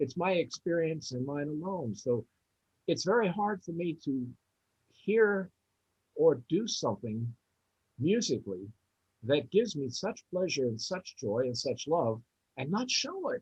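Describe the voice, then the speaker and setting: With very wide pitch swings, a man of fairly high pitch speaks at a fairly slow pace, pausing long and often, in a dry, close sound with no echo. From West Virginia. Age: 70s. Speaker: jazz drummer. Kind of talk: interview.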